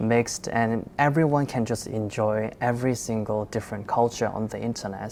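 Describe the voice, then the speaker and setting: A Korean accent with noticeable background noise. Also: woman. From South Korea. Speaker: content creator. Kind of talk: panel discussion.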